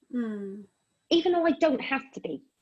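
Her intonation lively and her voice somewhat breathy, a woman speaks with an English accent. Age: 50s. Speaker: radio show host. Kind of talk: casual chat.

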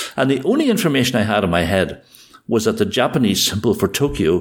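A man with a Northern Irish accent talks at a very fast pace. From Northern Ireland. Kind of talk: casual conversation with storytelling.

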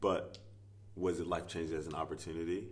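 A man's very deep, low voice with an American accent, moderately paced, with fairly even intonation. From US South, rural Virginia. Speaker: basketball coach and former pro player. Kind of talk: casual interview. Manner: filler-heavy, halting.

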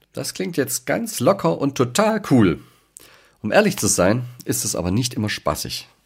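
With vocal fry and very wide pitch swings, a man talks at medium pitch and a moderate pace on a very clean recording with a silent background. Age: 40s. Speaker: leadership coach and podcast host. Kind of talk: podcast monologue.

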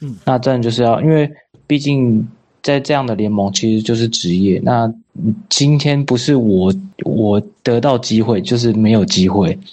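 At a moderate pace, a man talks in an unremarkable speaking voice. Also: medium pitch for a man, ordinary pitch variation. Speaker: American football player. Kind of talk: interview.

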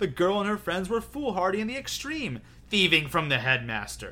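Putting on a character voice, a man speaks at a moderate pace in a high pitch, with a bright, sharp tone and big pitch swings.

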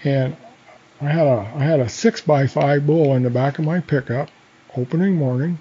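Here a man speaks with an Inland Northwest accent. His pitch is fairly high for a man, with ordinary variation. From North Idaho, Coeur d'Alene. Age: 70s. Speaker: fishing guide and hunter. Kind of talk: casual interview. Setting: studio.

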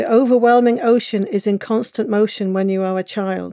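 Speaking at a moderate pace, a woman has a medium pitch, fairly even intonation and a dark, mellow tone. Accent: Cornish. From England, Cornwall. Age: 40s. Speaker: author. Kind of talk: audiobook narration of a memoir, lyrical and evocative. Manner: wistful and quietly defiant, building emotional intensity.

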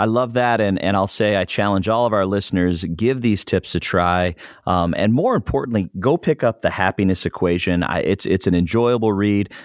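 The speaker uses an ordinary speaking voice at a moderate pace, with ordinary pitch variation and hardly any pauses. The sound is dry and close with no echo, and the loudness stays very even. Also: man, fairly low pitch for a man. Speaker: podcast interviewer. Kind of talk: podcast interview.

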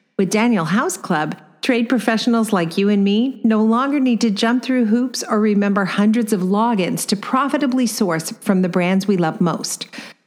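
Against noticeable background noise, a woman with an American accent talks at a very even loudness with hardly any pauses. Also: ordinary pitch variation, moderate pace. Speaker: podcast host and design business coach. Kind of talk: casual interview.

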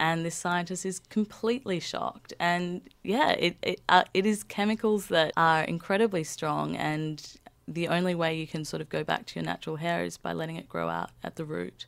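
A woman talks in an Australian accent at a moderate pace. She hardly pauses at all. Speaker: researcher, thesis author on African hair. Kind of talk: interview.

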